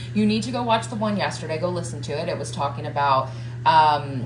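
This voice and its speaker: A woman with an American accent talks at a fairly quick pace. Noticeable background noise and audible room echo fill the recording. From US South, Georgia. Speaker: motivational coach. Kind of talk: live stream motivational talk. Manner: casual, filler-heavy.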